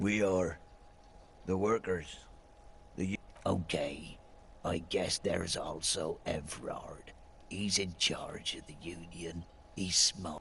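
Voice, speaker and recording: Slipping into a raspy, put-on character voice, a man speaks at a very deep, low pitch and a fairly slow pace, with long, frequent pauses over clear background noise. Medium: video game.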